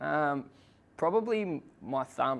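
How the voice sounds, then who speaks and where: Against a quiet background, a man with an Australian accent and a bright, sharp tone speaks at a very slow pace with lively intonation. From Australia (Queensland), born in Scotland. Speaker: mixed martial arts fighter. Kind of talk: interview. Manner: casual, relaxed.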